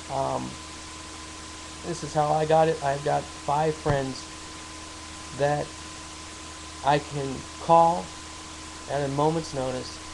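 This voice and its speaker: A man's fairly high voice, very slow and monotone with flat intonation, amid audible room echo and noticeable background noise. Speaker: war veteran with PTSD. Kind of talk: personal advice monologue. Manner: halting, many fillers and repetitions.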